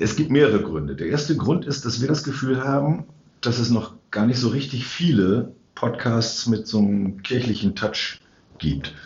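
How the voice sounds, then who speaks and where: A man talks with lively intonation at a medium pitch. His is a plain, everyday voice. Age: 60s. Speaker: church council member and podcast co-host. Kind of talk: casual chat. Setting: sacristy of a church.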